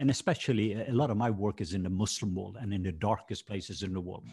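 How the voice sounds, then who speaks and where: Somewhat breathy and with a Norwegian accent, a man talks at a fairly quick pace with fairly even intonation. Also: very clean recording, silent background. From Norway. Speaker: minister. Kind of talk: casual chat.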